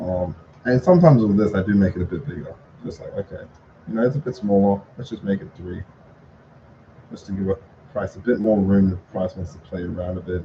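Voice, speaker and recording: This man has a fairly low pitch and ordinary pitch variation. His loudness swings widely, and he leaves long, frequent pauses. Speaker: trading content creator. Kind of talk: live trading recap tutorial. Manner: fast; casual, halting with fillers.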